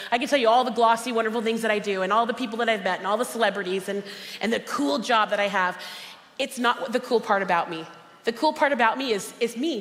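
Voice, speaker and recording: Very fast, animated speech from a woman with a fairly high voice, over noticeable background noise. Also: ordinary pitch variation. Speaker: motivational speaker and cookbook author. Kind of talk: motivational conference talk. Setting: stage with audience. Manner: loud.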